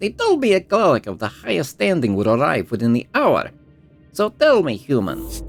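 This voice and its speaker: Faint music plays behind a man doing a shrill, put-on character voice at medium pitch. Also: moderate pace. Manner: imperious, contemptuous.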